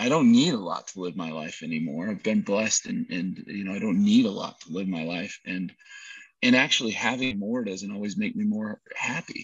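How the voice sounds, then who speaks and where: Big swings in loudness mark a man's speech at a moderate pace. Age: 50s. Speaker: real estate investor and developer. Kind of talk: interview. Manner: animated.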